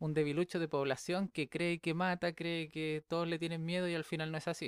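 Speaking in a monotone, flat way at a moderate pace, a man with a high pitch and a Chilean accent comes through a very clean recording with a silent background, the sound dry and close with no echo. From Chile, Viña del Mar. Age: 20s. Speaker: podcast host. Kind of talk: casual monologue.

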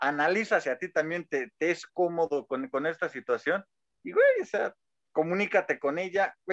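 A man's high-pitched voice at a moderate pace, with ordinary pitch variation and a dry, close sound with no echo. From rural Mexico. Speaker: podcast co-host. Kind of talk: casual chat.

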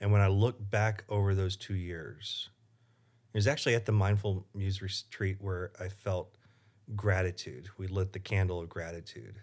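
The recording is very clean with a silent background. A man talks at a moderate pace, somewhat breathy, with fairly even intonation. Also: fairly low pitch for a man. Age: 40s. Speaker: pastor. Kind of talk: interview.

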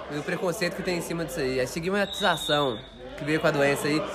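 Very fast, high-pitched speech from a man over noticeable background noise. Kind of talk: stand-up comedy, improvised banter and jokes.

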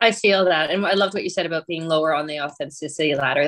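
A woman speaks in a normal speaking voice at a fairly low pitch, recorded dry and close with no echo. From rural Ontario, Canada. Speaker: author and editor. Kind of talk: casual interview.

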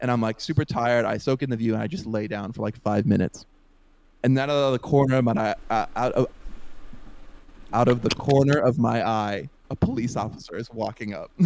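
A man with a medium pitch talks at a fairly quick pace, varying his pitch in an ordinary way. He leaves long, frequent pauses. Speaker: podcast co-host. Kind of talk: casual storytelling chat. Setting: podcast recording. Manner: loud.

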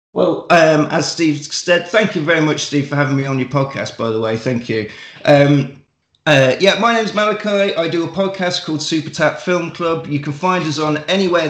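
A man speaks at a moderate pace and a fairly high pitch. It is an unremarkable speaking voice with ordinary pitch variation. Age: 40s. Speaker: wrestler and podcaster. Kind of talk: casual chat.

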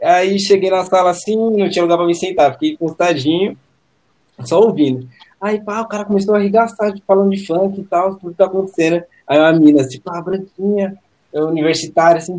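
A man with a high-pitched voice talks at a fairly quick pace. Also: ordinary pitch variation. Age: 20s. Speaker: art director. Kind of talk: casual chat.

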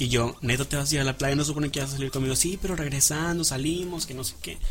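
A man's fairly high voice at a very fast pace, ordinary pitch variation, noticeable background noise. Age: 20s. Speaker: radio host. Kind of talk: casual chat.

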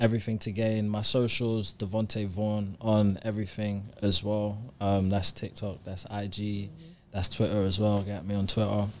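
A man with a London accent speaks at a moderate pace in a fairly low pitch. His intonation is monotone and flat. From South London. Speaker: recording artist. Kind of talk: casual chat.

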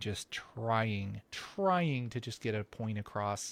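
The recording is very clean, with a silent background. A man with an unremarkable speaking voice talks fairly slowly at a fairly low pitch. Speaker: podcast co-host and tutorial creator. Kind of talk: casual chat. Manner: joking, chatty.

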